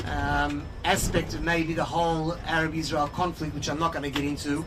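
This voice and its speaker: An Australian accent against noticeable background noise. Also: moderate pace. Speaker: tour guide and organization spokesperson. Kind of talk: guided tour talk. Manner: hesitant with many fillers.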